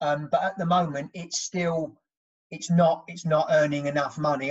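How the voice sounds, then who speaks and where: This man speaks with a southern English accent at a fairly high pitch. The background is quiet. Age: 50s. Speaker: construction project manager; podcast guest. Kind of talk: casual chat. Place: home room. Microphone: video call.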